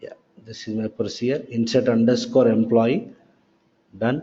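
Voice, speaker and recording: At a moderate pace and medium pitch, a man speaks in a plain, everyday voice. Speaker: software trainer. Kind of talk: lecture.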